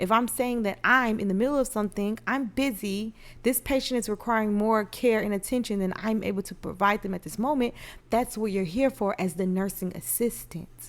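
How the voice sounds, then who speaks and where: Fairly high in pitch with ordinary variation, a woman talks at a fairly quick pace on a very clean recording with a silent background. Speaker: podcast host and nurse. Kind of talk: casual monologue podcast. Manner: soft-spoken.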